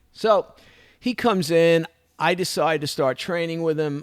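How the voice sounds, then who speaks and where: This is a very clean recording with a silent background. A man talks at a moderate pace in a Brooklyn accent. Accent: New York (Brooklyn). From Brooklyn, New York. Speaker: martial arts instructor and podcaster. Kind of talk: casual monologue, personal story.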